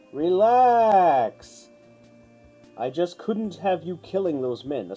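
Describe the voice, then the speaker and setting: Over faint music in the background, a man uses a put-on character voice, high-pitched and very slow. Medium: read story. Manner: composed, self-satisfied.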